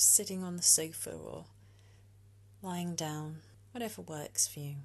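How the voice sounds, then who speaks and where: Very deep, low-pitched British-accented speech from a woman, soothing and gentle in tone, with very wide pitch swings, a fairly slow pace and long, frequent pauses. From UK. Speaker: meditation guide. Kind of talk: guided meditation. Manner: slow, soothing, gentle, calm.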